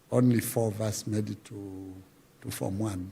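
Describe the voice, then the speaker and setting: A man speaks at a fairly slow pace and medium pitch with fairly even intonation. His tone is dark and mellow. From Zambia, Luapula region. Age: 60s. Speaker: veteran musician and folklore artist. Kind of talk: interview, life story. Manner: halting, many fillers.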